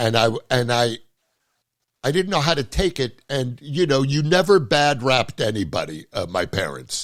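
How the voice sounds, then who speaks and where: Lively in intonation, a man speaks at a medium pitch with vocal fry. The recording is very clean, with a silent background. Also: moderate pace. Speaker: podcast host; comedian. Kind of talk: casual podcast conversation.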